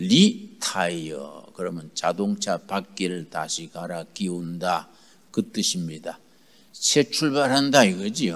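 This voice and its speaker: A man speaks very slowly in a very deep, low voice, his intonation lively and his loudness swinging widely. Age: 80s+. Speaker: pastor. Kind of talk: sermon. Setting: retreat gathering with audience.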